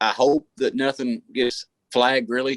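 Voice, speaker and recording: The audio is dry and close, without any echo. An American accent is heard. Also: man. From West Virginia/Kentucky border. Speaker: radio show and podcast host. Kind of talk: casual chat. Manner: halting, many fillers.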